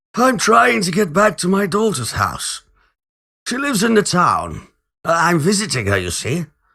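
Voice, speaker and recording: On a very clean recording with a silent background, a man does a quiet put-on character voice at a high pitch. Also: moderate pace. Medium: read story. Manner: quiet, old-fashioned.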